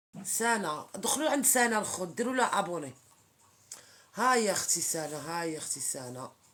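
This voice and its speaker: With noticeable background noise behind her, a woman speaks at a moderate pace and medium pitch, her voice sweeping through very wide pitch swings. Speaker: social media live streamer. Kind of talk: casual live-stream chat with viewers. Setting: TikTok live stream.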